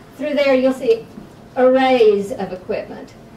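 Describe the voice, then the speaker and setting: Noticeable background noise is audible. Over it, a woman talks at a moderate pace. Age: 60s. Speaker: patient testimonial, veteran. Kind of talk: testimony. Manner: hesitant, many fillers.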